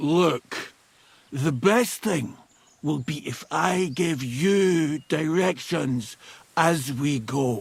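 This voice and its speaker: A man puts on a character voice with a fairly high pitch. He speaks very slowly. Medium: video game. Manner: crude, boisterous.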